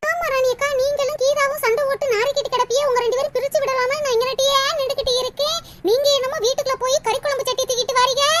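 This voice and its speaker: A woman does a cartoonish character voice at an extremely high pitch, talking at a fairly quick pace with fairly even intonation. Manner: chattering, gossipy.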